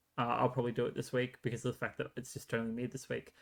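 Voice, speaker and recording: A man with an Australian accent speaks in a bright, sharp tone with vocal fry, on a very clean recording with a silent background. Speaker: sports podcast host. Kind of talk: solo podcast commentary. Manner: fast; hesitant, many fillers.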